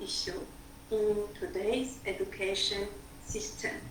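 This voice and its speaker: A woman with a Georgian accent speaks very slowly, with very wide pitch swings. Noticeable background noise and audible room echo fill the recording. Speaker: educator. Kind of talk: opening remarks.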